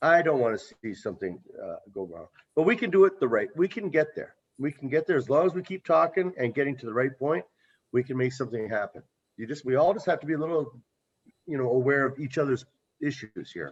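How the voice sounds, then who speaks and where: A man talks at a very fast pace with vocal fry. The background is quiet. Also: fairly high pitch for a man, lively intonation. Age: 60s. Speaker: local business owner. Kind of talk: community meeting discussion.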